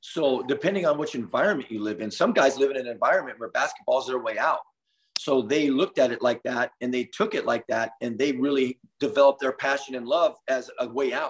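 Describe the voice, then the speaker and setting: Fairly high in pitch, a man talks in an ordinary speaking voice. He moves at a fairly quick pace with ordinary pitch variation. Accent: American. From US West Coast (Los Angeles area). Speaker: basketball coach. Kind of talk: interview.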